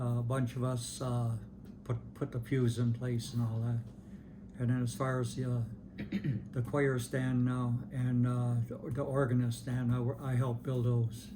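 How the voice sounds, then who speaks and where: A man's medium-pitched, somewhat breathy voice with a dark, mellow tone, monotone, flat intonation, a moderate pace and long, frequent pauses. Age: 80s+. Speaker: longtime parishioner interviewee. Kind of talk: oral history interview. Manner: halting, many repetitions and fillers.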